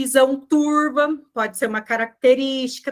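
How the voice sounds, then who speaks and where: A woman speaks with fairly even intonation. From southern Brazil (Rio Grande do Sul). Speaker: nutritionist. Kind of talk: online group talk.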